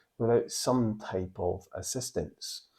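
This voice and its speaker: Against a quiet background, a man talks with a Scottish accent. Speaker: board game channel host. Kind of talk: casual to-camera presentation.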